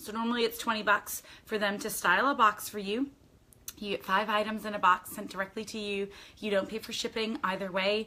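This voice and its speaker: With noticeable background noise behind her, a woman speaks at a fairly quick pace in a fairly high pitch. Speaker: lifestyle vlogger. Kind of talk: casual unboxing chat. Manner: animated.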